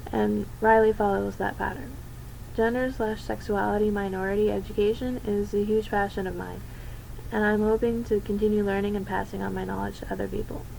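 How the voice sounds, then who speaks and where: Fairly quick speech from a woman, set against noticeable background noise. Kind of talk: personal coming-out talk to camera.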